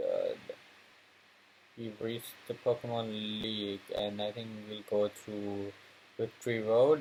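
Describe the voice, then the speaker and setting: A man speaks at a fairly slow pace in a medium pitch, his intonation flat and monotone, with long, frequent pauses. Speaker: gaming YouTuber. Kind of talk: let's play commentary. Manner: halting, many fillers; low energy.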